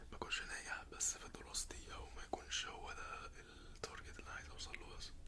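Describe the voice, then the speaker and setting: Someone is whispering at a fairly quick pace over noticeable background noise. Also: man. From Egypt. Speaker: ASMR creator. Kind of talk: ASMR roleplay. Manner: whispered, soft-spoken.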